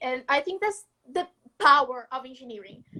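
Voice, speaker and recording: With a Brazilian accent, a woman uses a raised, projected voice that is high-pitched, bright and sharp. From northeastern Brazil, Maceió, Alagoas. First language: Portuguese. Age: young. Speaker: student innovator. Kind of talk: casual interview chat. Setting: live video call.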